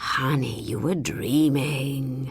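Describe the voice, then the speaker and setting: This put-on character voice is raspy and pitched low-to-middle. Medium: read story. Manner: patient, affectionate, firm.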